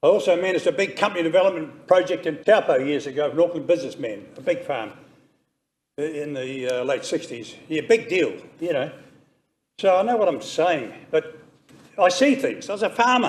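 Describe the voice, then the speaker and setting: With a New Zealand accent, a man talks at a moderate pace in a high voice, with very wide pitch swings and long, frequent pauses. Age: 80s+. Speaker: member of the public making a submission. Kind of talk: public hearing submission.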